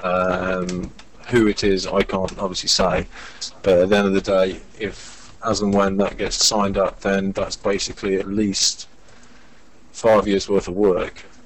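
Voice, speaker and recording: Flat, monotone intonation comes through in an English accent over noticeable background noise. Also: man, fairly low pitch for a man, fairly slow pace. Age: 30s. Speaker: visual effects director. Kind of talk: casual chat.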